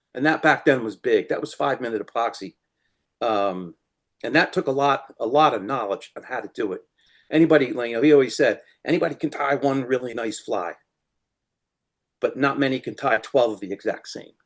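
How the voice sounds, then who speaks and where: In a New Jersey accent, a man speaks fairly quickly at medium pitch with ordinary pitch variation and long, frequent pauses against a quiet background. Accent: New Jersey American. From US Northeast, New Jersey. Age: 60s. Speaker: fly-tying materials supplier. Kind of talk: interview.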